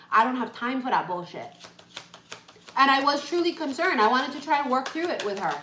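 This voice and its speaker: Over noticeable background noise and audible room echo, a woman speaks at a very fast pace in a raised, projected voice with a high pitch. Her tone is animated and her intonation lively, broken by long, frequent pauses. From Hawaii. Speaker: tarot reader. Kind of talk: live-stream tarot reading. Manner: loud.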